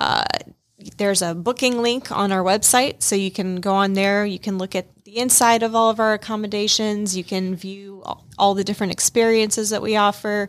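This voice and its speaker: On a very clean recording with a silent background, a woman talks at a moderate pace and medium pitch with flat, monotone intonation. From Minnesota, raised in Georgia. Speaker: event venue hospitality manager. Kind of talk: casual interview chat. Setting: studio.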